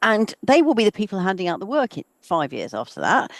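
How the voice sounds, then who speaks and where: Vocal fry and very wide pitch swings in a dry, close sound with no echo. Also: woman. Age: 60s. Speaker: professor. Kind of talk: webinar Q&A answer. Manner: halting, many fillers and restarts.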